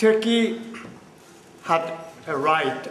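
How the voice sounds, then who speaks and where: With lively intonation, a man talks amid noticeable background noise and audible room echo. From Cyprus, Limassol. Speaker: audience member. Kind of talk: audience question.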